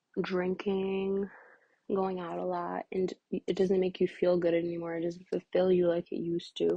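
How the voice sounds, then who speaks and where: Dark and mellow in tone, the voice proceeds at a fairly slow pace. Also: woman. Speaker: tarot or oracle reader. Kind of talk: oracle reading monologue. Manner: casual, with many fillers.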